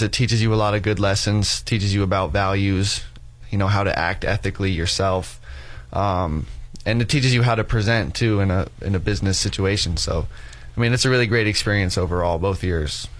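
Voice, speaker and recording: At a fairly quick pace, a man talks with a fairly low pitch. His loudness stays very even, and there is audible room echo. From Wyoming, Casper. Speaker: college student athlete. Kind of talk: radio interview. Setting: studio.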